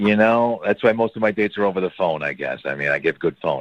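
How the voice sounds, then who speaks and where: At a very fast pace, a man speaks with lively intonation in a dry, close sound with no echo. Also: fairly low pitch for a man. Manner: hesitant, casual.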